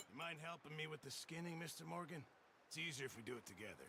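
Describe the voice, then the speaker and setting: Over clear background noise, a man does a raspy, put-on character voice at a fairly high pitch, with ordinary pitch variation and a very fast pace. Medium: video game. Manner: chatty, jovial.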